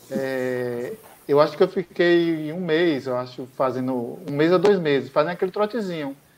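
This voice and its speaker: The man's voice sits fairly high. He talks at a moderate speed. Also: ordinary pitch variation. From Ilhéus, southern Bahia, Brazil. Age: 40s. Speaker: pharmaceutical sales rep and amateur runner. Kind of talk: interview, personal testimony. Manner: hesitant, many fillers.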